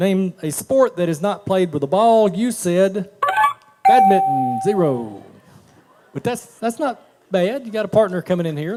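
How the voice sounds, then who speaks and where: With lively intonation and long, frequent pauses, a man speaks at a high pitch. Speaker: game show host. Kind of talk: live game show hosting. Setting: stage with audience.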